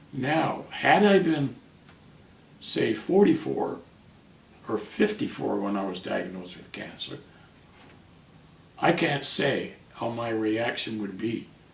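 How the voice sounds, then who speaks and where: In a room with audible echo, a man speaks at a very slow pace and medium pitch, with long, frequent pauses, very wide pitch swings and big swings in loudness. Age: 70s. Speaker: cancer patient. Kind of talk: interview.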